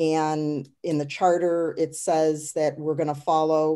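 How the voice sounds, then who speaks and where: A dark, mellow tone with an American accent, a fairly slow pace and a quiet background. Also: woman. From US Midwest. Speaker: city council member. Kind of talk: council meeting. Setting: video call. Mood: calm, businesslike. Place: home room. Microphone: webcam.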